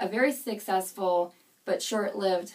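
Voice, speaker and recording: A woman talks at a moderate pace and medium pitch, with ordinary pitch variation. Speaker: public speaking student. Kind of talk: class presentation speech. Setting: home. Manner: hesitant, frequent filler sounds.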